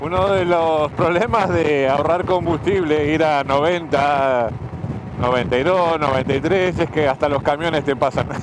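A man's fairly high voice with ordinary pitch variation, dry sound with no echo, and noticeable background noise. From Argentina. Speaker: motorcycle travel vlogger. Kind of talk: casual talk to camera. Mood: relaxed, joking. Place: motorbike. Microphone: helmet.

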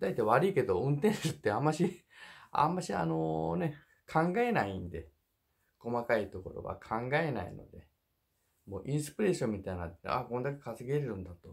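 Vocal fry, very wide pitch swings and big swings in loudness at a moderate pace against a quiet background. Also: man, medium pitch for a man. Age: 50s. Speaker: truck driver and YouTuber. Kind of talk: casual monologue advice video. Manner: jokey, rambling, animated. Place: home room. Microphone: phone near.

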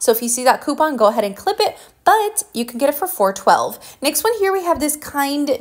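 In an upbeat tone, a woman speaks at a high pitch and a fairly quick pace, her voice making very wide pitch swings. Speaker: deal-sharing video host. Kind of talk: rapid-fire sales pitch, pitchman-style deal rundown. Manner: brisk, upbeat, urgent; chatty, friendly, directly addressing viewers.

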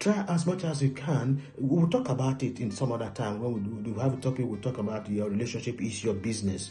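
A man speaks at a fairly quick pace. Faint music plays in the background. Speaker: relationship preacher. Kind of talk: sermon. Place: home room. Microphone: phone near.

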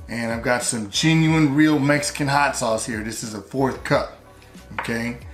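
Over faint background music, a man talks at a moderate pace with ordinary pitch variation. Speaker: home cooking video host. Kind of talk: cooking tutorial. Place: kitchen.

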